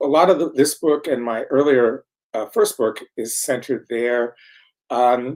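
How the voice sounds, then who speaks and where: At a fairly slow pace, a man talks in an ordinary speaking voice at a medium pitch. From US Midwest, Minneapolis, Minnesota. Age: 60s. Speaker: professor and author. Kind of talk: interview.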